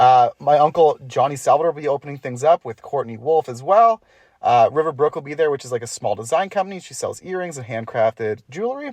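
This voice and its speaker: A speaker with a Canadian accent talks at a very fast pace. The background is quiet. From Ontario, Canada. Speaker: podcast host and musician. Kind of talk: casual chat. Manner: like an auctioneer.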